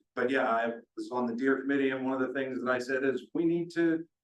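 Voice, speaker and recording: A man's medium-pitched voice at a very fast pace. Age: 30s. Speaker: council applicant. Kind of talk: interview answer at public meeting.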